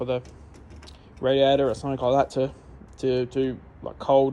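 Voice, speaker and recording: Mumbling in an Australian accent, a man speaks with a dark, mellow tone and monotone, flat intonation. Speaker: car enthusiast. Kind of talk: casual talk to camera. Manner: mumbling, rambling.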